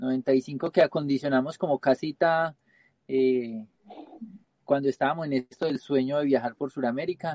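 Dry and close with no echo, a man's fairly high voice carries a dark, mellow tone. He speaks at a fairly slow pace with fairly even intonation. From Colombia, Pereira (coffee region). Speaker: travelling photographer. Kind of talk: live-streamed interview.

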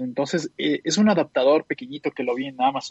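Using an ordinary speaking voice, a man talks at a fairly high pitch with ordinary pitch variation in a dry, close sound with no echo. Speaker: tech podcast panelist. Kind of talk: casual chat.

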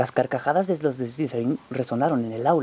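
Someone reads aloud in a plain way.

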